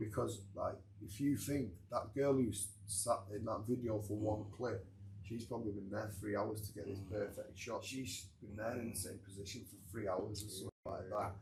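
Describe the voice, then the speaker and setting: Somewhat breathy, a man with a Manchester accent speaks at a moderate pace, his pitch fairly low and his intonation fairly even. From Manchester, England. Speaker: author. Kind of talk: podcast interview answer. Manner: casual.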